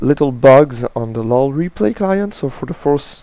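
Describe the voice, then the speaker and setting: In a French accent, a man speaks at a fairly slow pace with a medium pitch. His tone is dark and mellow, and his intonation is lively. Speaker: gaming commentator. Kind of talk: gameplay commentary tutorial. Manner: halting, with frequent uh and restarts.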